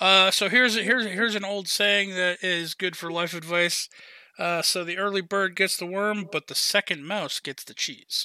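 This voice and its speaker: A man's raised, projected voice, high in pitch, bright and sharp in tone, at a moderate pace, with fairly even intonation, big swings in loudness, and a dry, close sound with no echo. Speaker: podcast host. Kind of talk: casual chat, Q&A podcast.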